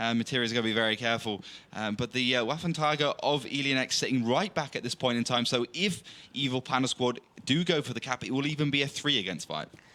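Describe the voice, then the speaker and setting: A very fast-talking man with a West Country accent, medium pitch, ordinary pitch variation and a bright, sharp tone. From England, Bristol. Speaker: esports commentator. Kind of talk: live commentary.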